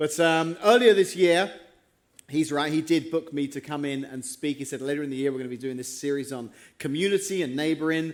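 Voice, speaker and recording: With an English accent, a man speaks at a fairly quick pace in a fairly high voice with ordinary pitch variation, on a very clean recording with a silent background. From England. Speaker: pastor. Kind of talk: sermon. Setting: church.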